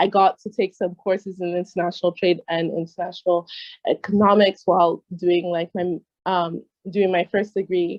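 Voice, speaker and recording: This woman talks at a moderate pace in a medium pitch, her intonation monotone and flat. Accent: American. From United States. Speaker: trade negotiations expert. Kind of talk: interview.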